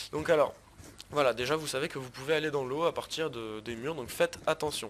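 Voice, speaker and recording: This man talks at a fairly quick pace, his fairly high pitch showing ordinary pitch variation. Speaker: gaming youtuber. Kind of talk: gameplay commentary. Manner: fast; casual.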